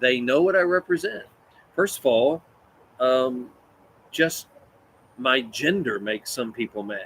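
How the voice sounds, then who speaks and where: A man with a Kentucky accent, medium in pitch, at a fairly slow pace. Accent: Kentucky Southern. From West Kentucky, US. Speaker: Bible teacher. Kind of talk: Bible study teaching. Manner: animated, conversational.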